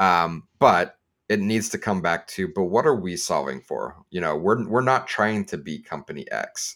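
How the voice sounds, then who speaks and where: On a very clean recording with a silent background, a man with a normal speaking voice and fairly low pitch talks at a moderate pace with lively intonation. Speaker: podcast co-host, analytics professional. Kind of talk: casual roundtable chat.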